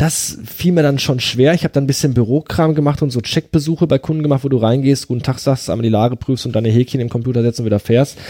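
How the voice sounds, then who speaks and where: A man at medium pitch, very fast, with hardly any pauses, ordinary pitch variation, very even loudness and noticeable background noise. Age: 30s. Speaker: podcast host. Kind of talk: casual conversation about grief. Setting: in person at the guest's home.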